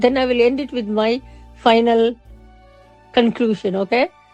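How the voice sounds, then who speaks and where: Music plays in the background as a woman speaks at a moderate pace. Her pitch is fairly high and her intonation fairly even. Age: 60s. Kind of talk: casual talk to camera.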